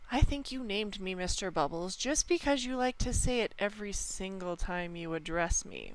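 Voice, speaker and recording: Using a put-on character voice at medium pitch, a woman speaks at a moderate pace with hardly any pauses over light background noise and hissing. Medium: read story. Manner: calm, insinuating.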